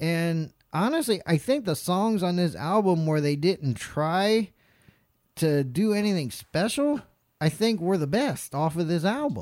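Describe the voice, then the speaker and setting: On a very clean recording with a silent background, a high-pitched man with an American accent speaks with lively intonation. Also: fairly slow pace, very even loudness. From North Carolina. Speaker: podcast host. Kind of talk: casual chat. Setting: studio.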